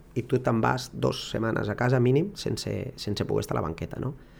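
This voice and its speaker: A man's voice with vocal fry. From Barcelona, Catalonia. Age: 30s. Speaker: football coach. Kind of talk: interview. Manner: halting.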